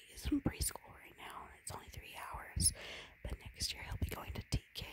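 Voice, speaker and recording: Whispering and soft-spoken, this voice comes with noticeable background noise and a dry sound with no echo. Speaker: video creator. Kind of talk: whispered casual vlog chat. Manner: soft whispered ASMR talk.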